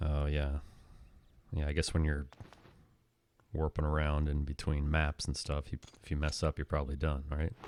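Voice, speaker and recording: The voice moves at a moderate pace in a monotone, flat intonation, with long, frequent pauses. The sound is dry and close with no echo. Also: man, very deep, low pitch for a man. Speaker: video game speedrunner. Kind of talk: live gameplay commentary. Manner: casual, conversational.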